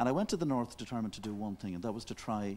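A man with a fairly low pitch rattles along at a very fast pace. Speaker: TV talk show guest, journalist. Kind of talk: interview answer. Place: studio. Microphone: lapel.

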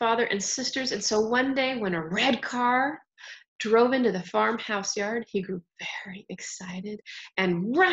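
An unforced reading voice shows ordinary changes in pitch, with a quiet background behind it.

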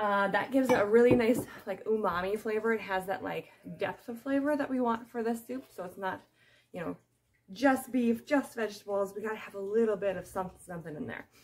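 This woman talks at a fairly quick pace with ordinary pitch variation. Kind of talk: cooking tutorial. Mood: friendly, chatty. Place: kitchen. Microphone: phone near.

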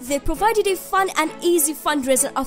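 Clear music plays in the background as a woman talks with lively intonation in an American accent. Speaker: voice actor. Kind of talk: corporate explainer narration. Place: studio.

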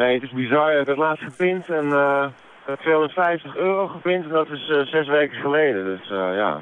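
Mumbling at a fairly quick pace, a man with a fairly high pitch is heard in a dry sound with no echo. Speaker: cycling traveller. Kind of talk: radio phone interview answer. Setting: phone line. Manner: hesitant, mumbling. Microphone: phone line.

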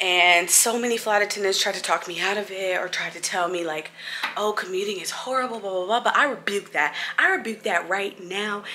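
A woman's fairly quick delivery carries fairly even intonation, with light background noise underneath. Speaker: flight attendant vlogger. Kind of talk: casual vlog chat. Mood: nervous but self-encouraging. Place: home room. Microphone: phone near.

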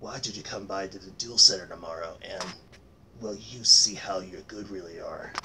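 A cartoonish character voice talks at a moderate pace with fairly even intonation. Loudness swings widely over clear background noise. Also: man, fairly low pitch for a man. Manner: calm, steady, encouraging.

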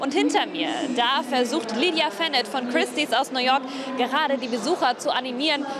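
Heard over noticeable background noise, a woman speaks with a dry sound and no echo. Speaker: TV reporter. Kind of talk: news report presentation. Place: hall. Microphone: handheld.

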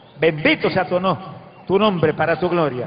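Over faint background music, a man speaks at a moderate pace in a high pitch with ordinary pitch variation. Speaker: preacher. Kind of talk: sermon prayer. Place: stage. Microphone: handheld.

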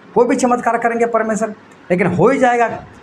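Moderate pace over light background noise. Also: man. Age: 50s. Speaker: preacher. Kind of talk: sermon. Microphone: phone near.

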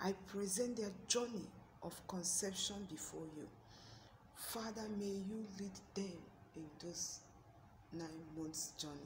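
A woman at a medium pitch, fairly slow pace, and ordinary pitch variation, with long, frequent pauses and noticeable background noise. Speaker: prayer channel host. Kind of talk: fervent intercessory prayer. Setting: video address to online audience. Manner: impassioned, pleading; earnest, rhythmic, repetitive invocations.

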